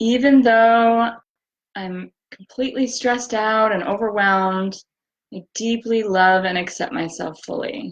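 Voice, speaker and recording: In a normal speaking voice, a woman with fairly high pitch talks at a fairly slow pace, with ordinary pitch variation and big swings in loudness. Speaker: EFT tapping practitioner. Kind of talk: guided tapping session. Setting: livestream from bedroom.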